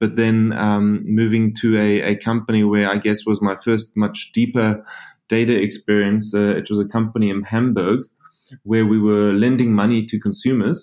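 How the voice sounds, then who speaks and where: Delivered at a moderate pace in a South African accent, the voice has a dark, mellow tone, monotone, flat intonation and very even loudness. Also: man, fairly low pitch for a man. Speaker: insurance company founder and CEO. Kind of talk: interview. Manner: halting, with frequent repetitions.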